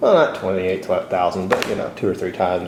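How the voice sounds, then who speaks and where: Noticeable background noise runs under the speech. Room echo is audible too. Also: man. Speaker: motorcycle travel vlogger. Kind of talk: casual vlog monologue.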